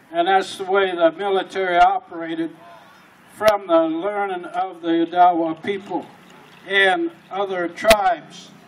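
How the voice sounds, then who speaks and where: Over noticeable background noise, a man speaks at a fairly slow pace in a high pitch for a man with monotone, flat intonation. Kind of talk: talk at a pow wow.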